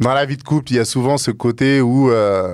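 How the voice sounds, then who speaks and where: The recording is very clean with a silent background as a man talks at a fairly slow pace. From Africa. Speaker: podcast guest. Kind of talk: casual chat. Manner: loud.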